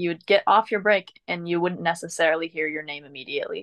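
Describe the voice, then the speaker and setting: At a very fast pace, a woman speaks with a fairly low pitch and ordinary pitch variation. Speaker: former theme park ride guide. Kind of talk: casual interview chat. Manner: soft-spoken; casual, filler-heavy.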